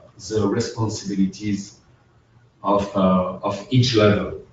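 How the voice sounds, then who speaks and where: Fairly even intonation runs through this man's somewhat breathy speech. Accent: French. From France. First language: French. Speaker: accountant. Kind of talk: webinar presentation. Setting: online webinar. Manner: halting, many fillers.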